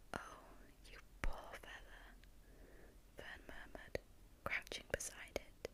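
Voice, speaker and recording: Someone whispers at a fairly slow pace. Noticeable background noise sits behind the voice. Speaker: ASMR storyteller. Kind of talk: sleep story. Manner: whispered.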